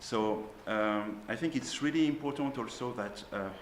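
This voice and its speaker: A man with a French accent talks at a fairly slow pace with ordinary pitch variation, amid noticeable background noise and audible room echo. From France. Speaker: school teacher on a panel. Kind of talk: panel discussion. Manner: hesitant, many fillers.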